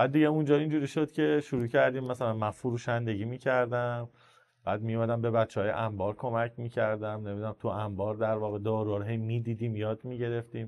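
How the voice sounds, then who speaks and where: Speaking very fast with an Isfahani accent, a man keeps a medium pitch and fairly even intonation. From Iran, Isfahan. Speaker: entrepreneur in supplements and pharma distribution. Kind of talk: podcast interview. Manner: casual, conversational storytelling.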